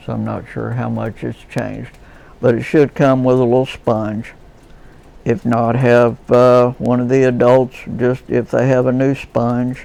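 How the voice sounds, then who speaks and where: A man with an American accent speaks at a fairly slow pace. His medium-pitched delivery is monotone and flat. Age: 60s. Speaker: leather crafter. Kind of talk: tutorial. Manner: casual, folksy.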